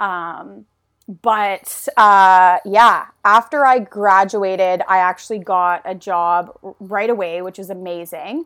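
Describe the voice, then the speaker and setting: Over a very clean, silent background, a woman with a medium pitch speaks at a very slow pace with fairly even intonation. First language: French. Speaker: beer company artist liaison, former TV reporter. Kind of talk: casual chat. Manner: casual, filler-heavy, chatty.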